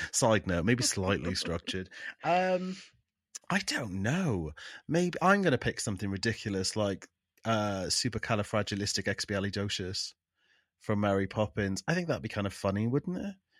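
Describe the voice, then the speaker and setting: With an English accent, a man with a fairly low voice speaks at a moderate pace with lively intonation on a very clean recording with a silent background. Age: 30s. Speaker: podcast co-host. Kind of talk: casual chat.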